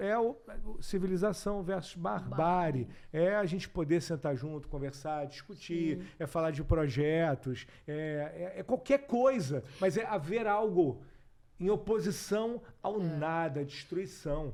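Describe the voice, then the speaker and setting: A man speaks at a fairly slow pace in a high voice with lively intonation. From Rio de Janeiro, Brazil. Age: 40s. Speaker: actor, director and TV presenter. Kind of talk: interview answer.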